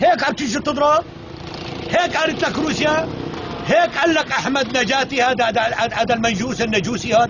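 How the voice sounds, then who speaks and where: An animated man's voice over noticeable background noise. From Syria, Douma (Damascus countryside). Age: 60s. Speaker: elderly villager. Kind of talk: angry rant. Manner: animated, loud.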